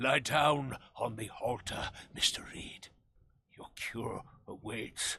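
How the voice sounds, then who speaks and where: Putting on a character voice, a man speaks raspily at a medium pitch and a very slow pace, with long, frequent pauses and big swings in loudness. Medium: video game. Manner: formal, grandiose.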